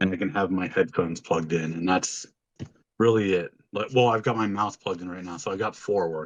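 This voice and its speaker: A man talks at a fairly quick pace in a very deep, low pitch. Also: ordinary pitch variation. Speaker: podcast co-host and streamer. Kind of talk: casual chat.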